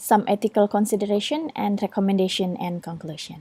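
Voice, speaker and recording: Recorded dry and close with no echo, a woman with an Indonesian accent speaks at a moderate pace in a dark, mellow tone at medium pitch. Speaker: student. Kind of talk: recorded presentation. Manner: halting, with frequent fillers.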